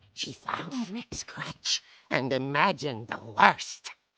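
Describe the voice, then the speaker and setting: A put-on character voice at a low-to-middle pitch speaks at a fairly slow pace. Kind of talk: horror comic narration. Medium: video game. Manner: wry, suspenseful.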